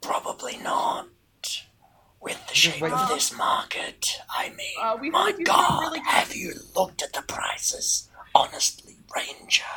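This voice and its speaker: Putting on a character voice, a man speaks at a fairly slow pace in an extremely high, raspy pitch. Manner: chatty, flustered salesperson.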